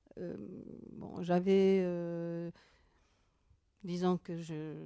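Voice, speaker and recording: A woman speaks very slowly in a monotone, flat delivery. Her voice is fairly low in pitch, with a dark, mellow tone. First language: Basque (speaking French). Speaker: author and professor. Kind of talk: interview. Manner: halting.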